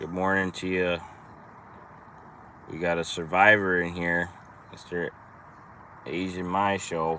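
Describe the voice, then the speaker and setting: Fairly slow, monotone delivery in a strong Minnesotan accent, bright and sharp in tone, with long, frequent pauses. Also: man, very deep, low pitch for a man. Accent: thick Minnesota. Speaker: trucking business owner. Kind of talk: casual live stream chat. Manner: casual, rambling with hesitations.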